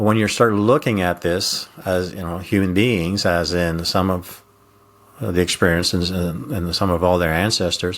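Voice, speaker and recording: A man speaks with a Quebec accent at a moderate pace. His pitch is very deep and low, with ordinary variation. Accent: French Canadian accent in English. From Quebec / French Canada. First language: French. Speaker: retired intelligence officer, communication coach. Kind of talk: interview conversation. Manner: hesitant with many fillers.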